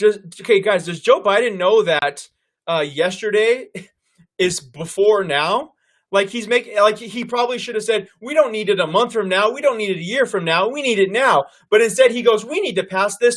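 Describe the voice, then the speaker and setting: A loud, high-pitched male voice at a moderate pace with ordinary pitch variation. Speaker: political commentary host. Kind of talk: live stream commentary. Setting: live online stream.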